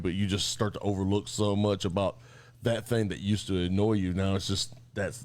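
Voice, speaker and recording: The voice belongs to a man with a fairly low pitch. He speaks at a moderate pace. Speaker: military veteran. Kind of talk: casual chat. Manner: loud.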